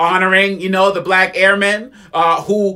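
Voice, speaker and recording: A man with a high-pitched, bright, sharp tone uses a raised, projected voice at a fairly slow pace. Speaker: spoken word poet. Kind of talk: poetry reading with commentary.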